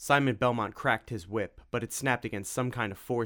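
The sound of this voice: The voice is an unforced reading voice with fairly even intonation.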